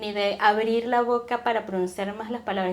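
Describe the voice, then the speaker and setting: A woman speaks at a moderate pace with a fairly high pitch. Noticeable background noise is present. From Venezuela. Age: young. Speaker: podcast guest, entrepreneur. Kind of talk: interview conversation.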